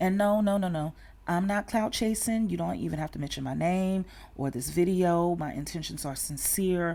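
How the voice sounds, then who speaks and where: A woman with a Southern US accent, fairly low in pitch with a dark, mellow tone, ordinary pitch variation and a moderate pace, on a very clean recording with a silent background. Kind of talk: casual talk to camera.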